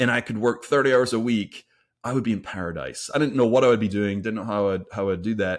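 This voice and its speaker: Medium in pitch with a plain, everyday voice, a man speaks at a fairly quick pace. His pitch varies ordinarily, and the recording is very clean with a silent background. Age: 40s. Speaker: podcast co-host. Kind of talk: casual chat.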